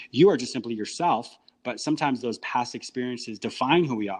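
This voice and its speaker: Speaking with an American accent, a man uses a medium pitch. His pitch varies in an ordinary way over a quiet background. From United States. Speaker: psychotherapist and radio host. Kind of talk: podcast interview. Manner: fast.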